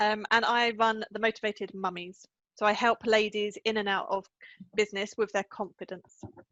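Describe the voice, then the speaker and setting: Fairly even intonation at a moderate pace, with an English accent. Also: woman, fairly high pitch for a woman. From England. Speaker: life coach. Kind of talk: interview.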